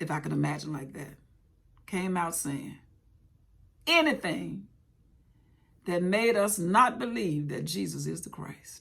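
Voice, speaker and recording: A woman speaks at a fairly slow pace with an animated tone. She leaves long, frequent pauses, and her loudness swings widely. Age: 60s. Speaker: Bible teacher. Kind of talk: bible study talk.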